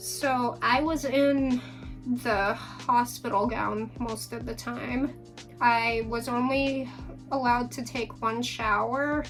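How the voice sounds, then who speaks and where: A woman speaks very slowly. Music plays in the background. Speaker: new mother. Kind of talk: casual talk to camera.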